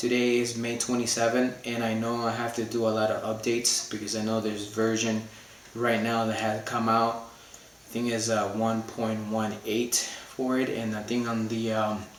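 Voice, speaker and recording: Amid noticeable background noise and audible room echo, a man speaks at medium pitch and a moderate pace with monotone, flat intonation. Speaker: hobbyist YouTuber. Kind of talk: unboxing video. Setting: living room at home. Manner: halting, many fillers.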